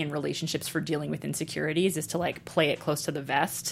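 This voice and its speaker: Speaking at a fairly quick pace in an American accent, a woman's pitch swings very widely on a very clean recording with a silent background. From Brooklyn, New York and Texas. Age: 30s. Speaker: comedian and author. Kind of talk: casual interview chat.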